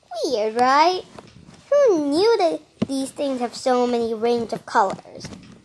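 A woman's high-pitched voice at a very slow pace, with very wide pitch swings and noticeable background noise. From Australia. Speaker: wildlife podcast host. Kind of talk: casual nature-show narration. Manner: animated.

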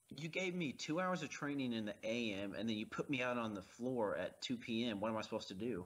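This man has a normal speaking voice at a medium pitch. His intonation is lively, and he barely pauses. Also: fairly quick pace. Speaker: podcast co-host. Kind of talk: casual movie commentary banter.

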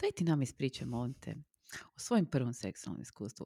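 Very deep and low in pitch, a woman speaks with lively intonation on a very clean recording with a silent background. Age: 40s. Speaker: podcast co-host. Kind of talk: casual chat.

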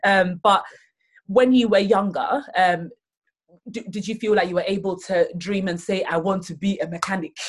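A woman with a medium pitch talks at a moderate pace, her voice somewhat breathy and her intonation fairly even. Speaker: podcast host. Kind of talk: casual interview.

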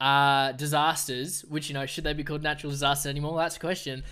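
In an Australian accent, a man talks at a very fast pace with a bright, sharp tone. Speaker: environmental news podcaster. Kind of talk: solo podcast commentary. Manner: casual.

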